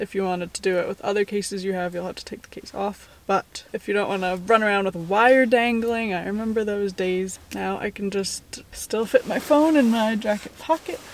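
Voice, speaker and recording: Delivered with hardly any pauses and ordinary pitch variation, the speech has a dry sound with no echo and light background noise. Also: woman, moderate pace, big swings in loudness. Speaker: lifestyle vlogger. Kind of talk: casual vlog chat, sponsor segment. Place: car. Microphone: phone near.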